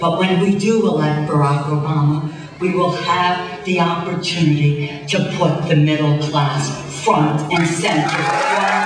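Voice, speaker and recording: A woman speaks at a fairly slow pace against audible room echo and noticeable background noise. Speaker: politician. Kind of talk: campaign rally speech. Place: hall.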